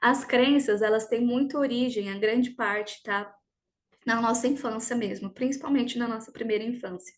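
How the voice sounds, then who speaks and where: With a plain, everyday voice, a woman talks at a moderate pace and fairly high pitch with ordinary pitch variation against a quiet background. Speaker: personal development coach. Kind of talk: online workshop talk.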